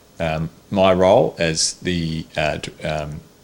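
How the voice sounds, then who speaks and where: A man with an Australian accent speaks in a very deep, low voice with fairly even intonation. Background noise is noticeable. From Tasmania, Australia. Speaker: cardiologist. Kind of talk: interview answer.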